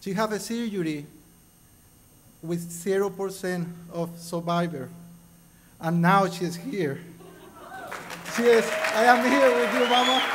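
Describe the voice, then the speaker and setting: With music in the background and audible room echo, a man with a high voice is speaking. He takes long, frequent pauses. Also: ordinary pitch variation, fairly slow pace. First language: Spanish. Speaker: award recipient. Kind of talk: acceptance speech.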